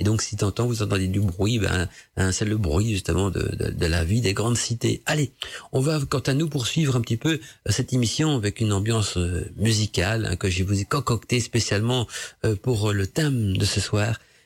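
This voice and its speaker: On a very clean recording with a silent background, a man with a fairly low pitch speaks in a somewhat breathy voice, with ordinary pitch variation and very even loudness. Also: moderate pace. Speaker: radio host. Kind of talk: casual radio talk on esoteric topics. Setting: home studio.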